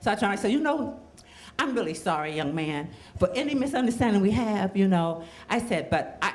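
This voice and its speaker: The pitch swings very widely, with noticeable background noise behind the voice. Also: woman. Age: 70s. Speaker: storyteller. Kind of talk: storytelling.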